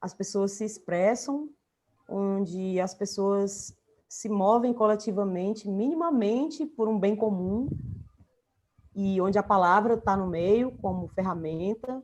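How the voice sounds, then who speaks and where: Speaking with a northeastern Brazilian accent, a woman uses a medium pitch and lively intonation. Her pace is very slow. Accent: northeastern Brazilian (Ceará). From Brazil, Fortaleza, Ceará. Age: 40s. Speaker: writer and visual artist. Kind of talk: interview conversation.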